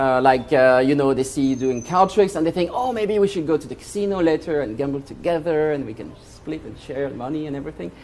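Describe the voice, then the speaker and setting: A man talks at a very fast pace with hardly any pauses, his pitch fairly high and his intonation lively. He has a French accent, and his loudness swings widely. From France. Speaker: magician. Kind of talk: stage magic performance. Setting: stage with audience. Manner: animated.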